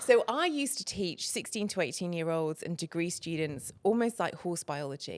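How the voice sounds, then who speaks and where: This woman has a fairly low pitch and an English accent, with lively intonation. The recording is very clean, with a silent background. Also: moderate pace. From England. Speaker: feng shui consultant. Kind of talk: podcast interview.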